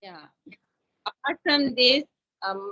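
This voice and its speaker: A woman speaks with an Indian accent. Her pitch is fairly high, with ordinary pitch variation. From India, Chhattisgarh (Raipur). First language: Hindi. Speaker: teacher learning English. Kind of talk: casual conversation practice. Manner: halting.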